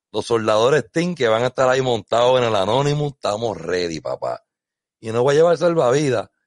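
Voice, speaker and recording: Speaking at a fairly quick pace in a Puerto Rican accent, a man of medium pitch uses lively intonation, the sound dry and close with no echo. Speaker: sailing podcast host. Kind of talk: casual chat. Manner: animated.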